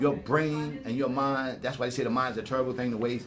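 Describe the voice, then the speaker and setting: A man talks at a very fast pace and a fairly high pitch, with noticeable background noise and audible room echo. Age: 60s. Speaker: hip-hop elder. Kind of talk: casual chat. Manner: animated.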